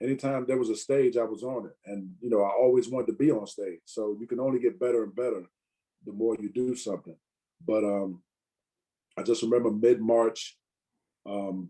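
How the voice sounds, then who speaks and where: Speaking with an American accent in a dark, mellow tone, a man moves at a fairly quick pace, with long, frequent pauses and big swings in loudness. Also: ordinary pitch variation. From Virginia, US. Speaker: stand-up comedian. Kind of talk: casual interview chat. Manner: many fillers (you know, um).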